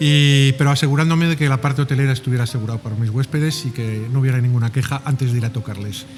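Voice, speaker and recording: Over music in the background, a man with a Spanish accent talks at a very fast pace and medium pitch, with hardly any pauses and fairly even intonation. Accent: Spanish (Spain). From Spain, Madrid. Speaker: hotel executive. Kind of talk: interview. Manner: hesitant, many fillers.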